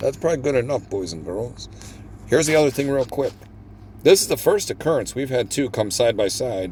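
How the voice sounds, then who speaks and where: At a fairly quick pace, a man with a medium pitch and vocal fry speaks with lively intonation. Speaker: gambling video host. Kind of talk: live gameplay commentary. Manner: animated.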